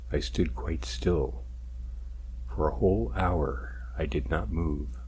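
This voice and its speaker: A man speaks very slowly with a very deep, low pitch and a dark, mellow tone. There is vocal fry, and his pitch variation is ordinary. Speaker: ASMR narrator. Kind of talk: read story, first-person narration.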